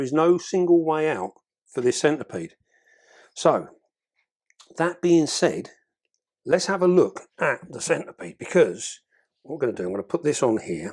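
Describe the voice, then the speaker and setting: Long, frequent pauses within moderately paced speech and lively intonation. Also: man. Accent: English. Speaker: exotic pet keeper and video creator. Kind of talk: tutorial. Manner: heavy breathing.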